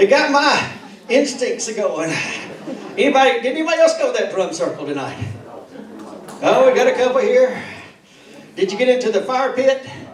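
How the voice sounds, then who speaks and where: In a Tennessee accent, the speech moves at a fairly quick pace, broken by long, frequent pauses. Noticeable background noise and audible room echo come through. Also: man. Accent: Southern US (Tennessee). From Tennessee, Hickory Tree. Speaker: stand-up comedian. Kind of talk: stand-up. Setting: stage with audience.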